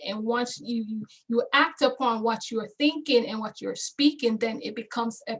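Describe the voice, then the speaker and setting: A woman's high-pitched voice at a fairly slow pace. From Jamaica. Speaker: motivational speaker. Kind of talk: motivational speech. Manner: passionate, preaching.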